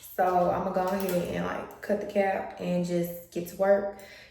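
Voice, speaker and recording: A woman's quiet whispering at a moderate pace, with audible room echo and noticeable background noise. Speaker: beauty vlogger and wig brand owner. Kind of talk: hair tutorial vlog. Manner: quiet, almost whispering.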